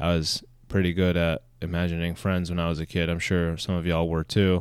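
A voice moves at a moderate pace on a very clean recording with a silent background. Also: man. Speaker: podcast host. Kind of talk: casual solo monologue. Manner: casual, chatty, humorous.

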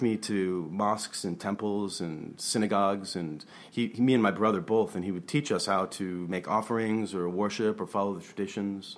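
The speech moves at a fairly quick pace with fairly even intonation. It is a normal speaking voice with an American accent. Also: man. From grew up abroad in Southeast Asia (Taiwan, Hong Kong), American family. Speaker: artist and gallery curator. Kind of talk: casual chat. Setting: studio.

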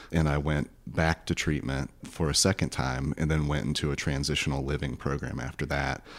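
A man speaks with a very deep, low pitch and vocal fry. His flat, monotone delivery runs at a moderate pace with hardly any pauses. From US South, rural northwest Florida. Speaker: therapist. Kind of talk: interview.

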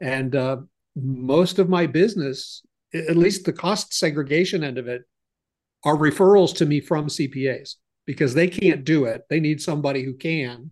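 The background stays quiet behind an ordinary speaking voice. It moves at a moderate pace with ordinary pitch variation. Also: man. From US Midwest, Ohio. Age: 60s. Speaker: business consultant. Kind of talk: interview, conversational.

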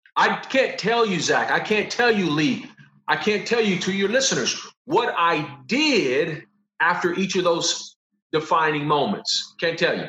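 In a room with audible echo, a man with an American accent projects a raised, high-pitched voice, bright and sharp in tone, with lively intonation at a fairly slow pace. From Los Angeles, US. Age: 40s. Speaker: professor. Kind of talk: casual chat.

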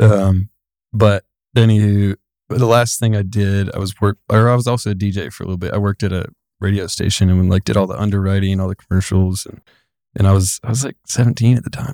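A man in a Tennessee accent talks at a very fast pace with a fairly low pitch, a dark, mellow tone and fairly even intonation, the sound dry and close with no echo in a very clean recording with a silent background. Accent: Southern US (Tennessee). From US South, Giles County, Tennessee. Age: 20s. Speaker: excavation business owner. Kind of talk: casual chat.

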